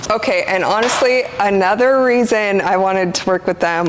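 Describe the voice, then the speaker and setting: There is noticeable background noise behind this woman. Her voice sits at a medium pitch. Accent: American. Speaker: woodworking influencer. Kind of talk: casual product unboxing vlog. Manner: casual, with many fillers.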